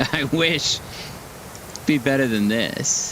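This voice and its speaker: Over noticeable background noise, a man with an American accent speaks at a medium pitch and a very slow pace. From California, LA County. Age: 60s. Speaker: gaming streamer. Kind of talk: casual live-stream commentary while gaming. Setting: home live stream. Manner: conversational, rambling.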